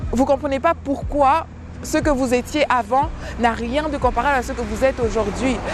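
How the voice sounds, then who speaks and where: A woman's high voice at a moderate pace with fairly even intonation, crowd noise in the background. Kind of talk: devotional teaching. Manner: halting with many repetitions.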